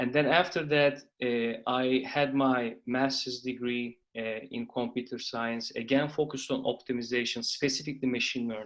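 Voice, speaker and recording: Against a quiet background, a man of medium pitch with a Turkish accent talks in a flat monotone with hardly any pauses. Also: moderate pace. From Turkey. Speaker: venture capital investor, company founder. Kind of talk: interview.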